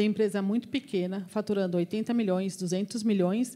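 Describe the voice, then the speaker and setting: A woman's voice sits at a medium pitch, with a dark, mellow tone. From Brazil, interior of São Paulo state (Avaré). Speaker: engineer and recruitment business owner, guest lecturer. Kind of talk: lecture Q&A with students. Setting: university lecture hall with students. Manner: animated.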